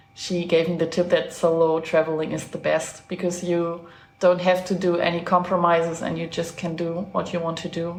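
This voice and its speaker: A woman's fairly low voice in a German accent, monotone and flat, at a moderate pace, with noticeable background noise and audible room echo. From Germany. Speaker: traveler. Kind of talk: casual chat.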